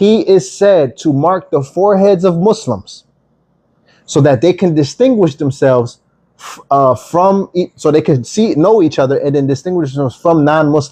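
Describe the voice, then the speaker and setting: With a Philadelphia accent, a man speaks at a moderate pace in a dark, mellow tone with lively intonation. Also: fairly high pitch for a man. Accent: Philadelphia American English. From US, Philadelphia. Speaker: online Bible teacher. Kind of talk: livestream Bible teaching. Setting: TikTok livestream.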